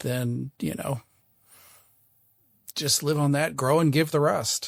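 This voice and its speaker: In a very clean recording with a silent background and a dry, close sound with no echo, a man speaks. His fairly high voice is monotone and flat, moving very slowly. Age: 60s. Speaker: author on investing. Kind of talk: interview conversation.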